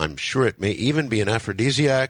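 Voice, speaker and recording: A man with an unremarkable speaking voice, lively intonation and a fairly slow pace, in a very clean recording with a silent background and a dry, close sound with no echo. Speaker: radio talk show host. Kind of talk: late-night radio broadcast. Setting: radio studio.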